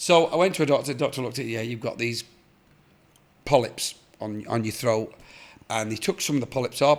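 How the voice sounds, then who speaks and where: This man has an English accent and a medium pitch. His pitch varies in an ordinary way. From England, of Irish parents. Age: 60s. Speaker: artist. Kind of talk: casual chat.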